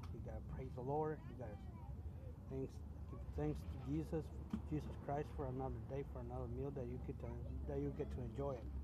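A man talks at a fairly quick pace, breaking it up with long, frequent pauses. The sound is dry with no echo, under loud background noise. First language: Spanish. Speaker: truck driver vlogger. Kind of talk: casual vlog monologue. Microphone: phone near.

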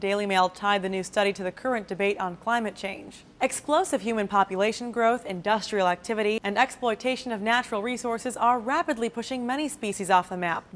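A woman talks at a very fast pace with hardly any pauses. Her fairly high voice has ordinary pitch variation. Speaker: news presenter. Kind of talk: scripted news reading, polished broadcast delivery. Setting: studio. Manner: steady, even-paced and formal.

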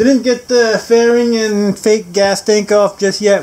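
A man's slightly mellow voice, high in pitch, over faint background noise

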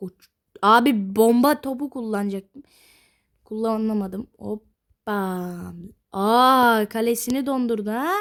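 A woman speaks at a very slow pace with a fairly high pitch and ordinary pitch variation. The recording is very clean, with a silent background. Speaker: gaming youtuber. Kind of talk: gameplay commentary. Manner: loud, shouting.

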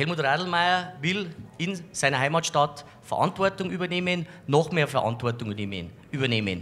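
Speaking at a fairly slow pace, a man uses lively intonation and a fairly high pitch, his bright, sharp tone edged with vocal fry. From Bavaria, Landshut. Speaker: local politician, mayoral candidate. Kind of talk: campaign statement. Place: studio. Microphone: handheld.

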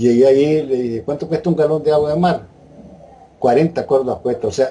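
A man is speaking. He has a Nicaraguan accent. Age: 80s+. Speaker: interviewee sharing health testimony. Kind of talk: interview answer. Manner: casual, conversational. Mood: calm, earnest. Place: home room. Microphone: video call.

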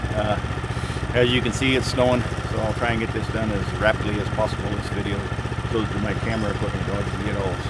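Very fast speech from a man, dry with no echo, over loud background noise. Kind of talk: casual vlog chat. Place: forest.

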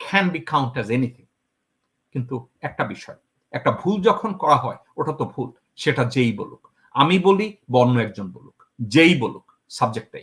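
A man's voice makes big swings in loudness and very wide swings in pitch. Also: fairly high pitch for a man. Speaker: political commentator. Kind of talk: political commentary interview. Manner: code-switching with English.

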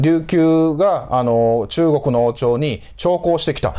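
Here a man is speaking. His pitch sits fairly high. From Japan, Osaka. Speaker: historian and channel host; channel host. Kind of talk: solo lecture-style commentary. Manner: frequent filler hesitations. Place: home room. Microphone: lapel.

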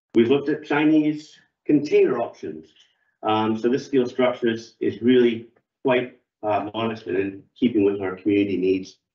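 Against a quiet background with audible room echo, the speech moves at a moderate pace with ordinary pitch variation. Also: man. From Canada, Toronto. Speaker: ice rink club volunteer; presenter. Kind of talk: public forum presentation. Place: meeting room. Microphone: camera far.

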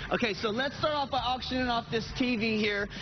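A man talks at a fairly quick pace in an upbeat tone, with ordinary pitch variation. Noticeable background noise sits behind him. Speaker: TV news field reporter. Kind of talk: TV news field report. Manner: lively, jokey, upbeat. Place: hall. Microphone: handheld.

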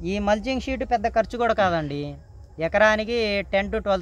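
A man is speaking. The sound is dry, with no echo. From Guntur district, Andhra Pradesh; Andhra Pradesh. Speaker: farmer. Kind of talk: interview explanation. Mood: calm, advising. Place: farm. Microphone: camera far.

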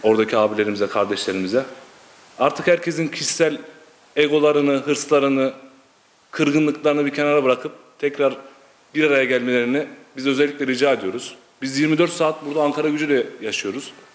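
A man with a fairly high pitch and ordinary pitch variation moves at a fairly quick pace but leaves long, frequent pauses. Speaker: football supporter. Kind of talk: casual interview. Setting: supporters' clubhouse. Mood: earnest, somewhat frustrated. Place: home room. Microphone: handheld.

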